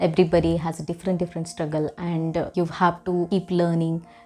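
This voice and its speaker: A woman with a Marathi accent speaks at a moderate pace. Her voice is fairly low in pitch, with a dark, mellow tone. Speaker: book vlogger. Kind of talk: casual monologue. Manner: hesitant, many fillers.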